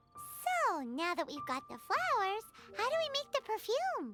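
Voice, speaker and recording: A squeaky, put-on character voice at an extremely high pitch, swinging very widely up and down. The pace is moderate, with loud music playing behind it. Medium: game stream. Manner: wry, casual.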